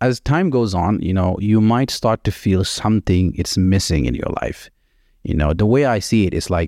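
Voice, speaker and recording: A man talks at a moderate pace. The sound is dry and close with no echo, on a very clean recording with a silent background. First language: not English. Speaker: solo podcast host. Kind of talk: motivational monologue. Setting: home kitchen. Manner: casual, filler-heavy.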